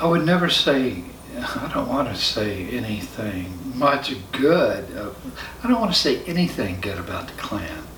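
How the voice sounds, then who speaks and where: Amid noticeable background noise and audible room echo, a man talks fairly slowly at a fairly high pitch that swings very widely. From US South, rural Central Florida. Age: 60s. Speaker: spiritual follower telling his life story. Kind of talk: personal testimony interview. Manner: halting, many fillers.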